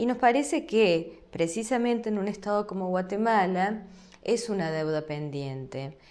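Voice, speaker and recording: A woman with an Argentine accent speaks at a fairly slow pace, with audible room echo. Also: medium pitch for a woman, lively intonation. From Argentina. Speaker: law lecturer. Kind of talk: lecture.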